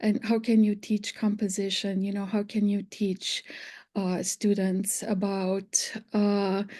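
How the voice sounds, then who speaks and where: A woman's medium-pitched voice with a dark, mellow tone and a non-native accent, monotone and flat, at a very slow pace against a quiet background. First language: not English. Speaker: English literature professor. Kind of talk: panel discussion. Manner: halting, many fillers.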